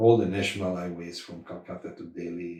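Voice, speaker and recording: A man speaks at a moderate pace in a very deep, low pitch, his tone dark and mellow and somewhat breathy. Audible room echo fills the recording. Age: 70s. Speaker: spiritual practitioner recounting memories. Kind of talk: interview reminiscence. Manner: halting.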